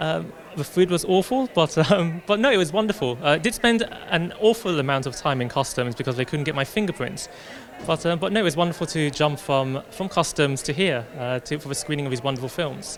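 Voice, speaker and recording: Over crowd noise, a man with a British accent talks at a fairly quick pace, his fairly high pitch moving in lively intonation. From London, England. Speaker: film director. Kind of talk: red carpet interview. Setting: red carpet at a film festival. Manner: hesitant, many fillers and restarts.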